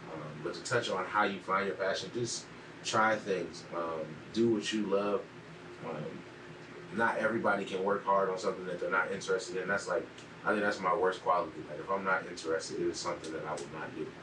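Noticeable background noise and audible echo in the room around a man talking fairly quickly. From US Midwest, Cleveland, Ohio. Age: 20s. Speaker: entrepreneur. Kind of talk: casual interview.

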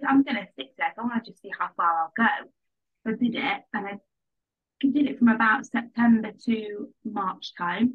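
A fairly high-pitched woman with an English accent, ordinary pitch variation and big swings in loudness. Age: 20s. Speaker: nutrition coaching client. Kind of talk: casual interview.

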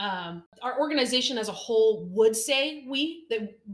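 This woman has a fairly high pitch. Her voice is somewhat breathy. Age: 20s. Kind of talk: casual chat. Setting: kitchen table.

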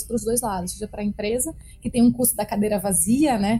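Against music in the background, a woman speaks at a very fast pace with a fairly high pitch and monotone, flat intonation. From Brazil, Brasília (Taguatinga). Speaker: marketing executive. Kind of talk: interview.

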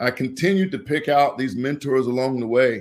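With an American accent, a man speaks at medium pitch and a moderate pace in an ordinary speaking voice with ordinary pitch variation. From US Midwest, Indianapolis. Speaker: former college football player. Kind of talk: interview.

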